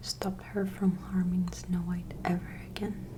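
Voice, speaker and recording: Speech comes at a fairly slow pace. The speaker is soft-spoken. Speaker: ASMR creator. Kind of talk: bedtime story reading.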